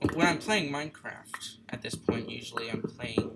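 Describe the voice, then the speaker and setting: Over music in the background, a man talks with lively intonation at a fairly high pitch. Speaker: gaming youtuber. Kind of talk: gameplay commentary. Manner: soft-spoken. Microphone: computer built-in mic; too quiet.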